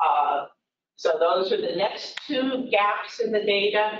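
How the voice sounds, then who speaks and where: Audible room echo surrounds a woman speaking at a very slow pace. Light background noise is present too. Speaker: presenter. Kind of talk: lecture. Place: hall.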